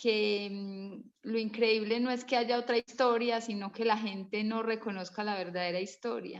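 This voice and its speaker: Hardly any pauses break up the speech. It moves at a fairly slow pace. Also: woman, fairly high pitch for a woman. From Colombia. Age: 30s. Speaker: participant in online history class, mother. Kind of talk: casual discussion contribution. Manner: halting, with restarts.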